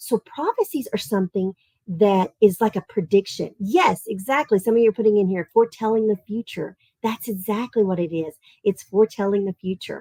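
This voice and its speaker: An animated woman with a Southern Tennessee accent, medium pitch, ordinary pitch variation and a fairly quick pace, in a dry, close sound with no echo. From US South, Tennessee. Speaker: art teacher. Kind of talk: live-streamed kids' lesson. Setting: live stream.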